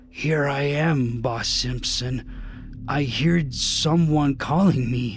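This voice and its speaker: Putting on a character voice, a man speaks very slowly in a fairly high, raspy, wheezy voice against clear background noise. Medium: read story.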